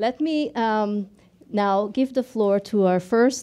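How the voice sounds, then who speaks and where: A woman speaks at a very slow pace in a dark, mellow tone with ordinary pitch variation. The background is quiet. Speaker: event host. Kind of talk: opening welcome speech. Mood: warm, smiling. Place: hall. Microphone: podium.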